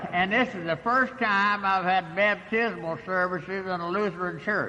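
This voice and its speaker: A man projects a raised voice at a high pitch and moderate pace. His tone is bright and sharp, with fairly even intonation. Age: 80s+. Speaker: AA speaker, recovering alcoholic. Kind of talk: recovery meeting talk. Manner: halting, many fillers.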